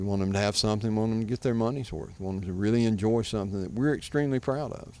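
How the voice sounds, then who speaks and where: Speaking at a very fast pace, a man with a fairly low voice talks in a strong Southern US accent. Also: ordinary pitch variation. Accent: thick Southern. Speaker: vineyard owner and winemaker. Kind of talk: interview.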